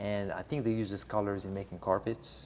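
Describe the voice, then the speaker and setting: A man speaks with an Arabic accent. His pitch is fairly low and his pace is moderate. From Morocco, Casablanca. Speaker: interviewee. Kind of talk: interview. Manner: halting, many fillers.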